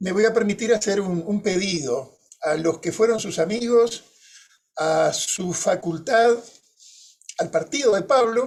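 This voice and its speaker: With a Uruguayan accent, a man speaks at a high pitch with lively intonation and long, frequent pauses. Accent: Rioplatense Spanish (Uruguayan). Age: 60s. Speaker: moderator, journalist. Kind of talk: panel moderation with personal anecdotes. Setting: conference panel.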